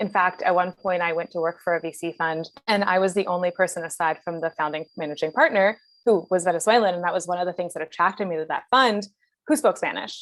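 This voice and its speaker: A woman with an American accent speaks at a very fast pace in a fairly low pitch with ordinary pitch variation. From US, Philadelphia. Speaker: venture capital investor. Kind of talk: interview. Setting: video call.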